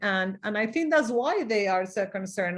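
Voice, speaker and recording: Against a quiet background, a woman with a Mexican accent speaks at a fairly slow pace and a fairly high pitch. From Mexico. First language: Spanish. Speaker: diversity consultant and leadership coach. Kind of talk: interview.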